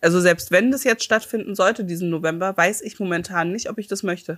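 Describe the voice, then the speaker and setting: Speaking in a normal speaking voice, a woman talks at a fairly quick pace with a medium pitch and fairly even intonation. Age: 30s. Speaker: podcast co-host. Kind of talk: casual chat.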